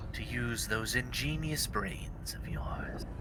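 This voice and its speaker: Over loud background noise, a man uses a put-on character voice at a fairly slow pace. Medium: actual play. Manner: taunting, sing-song, cackling.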